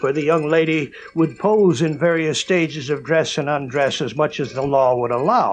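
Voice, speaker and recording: Background music accompanies the recording. The male voice moves at a moderate pace. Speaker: exploitation film producer. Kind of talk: interview storytelling. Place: home room.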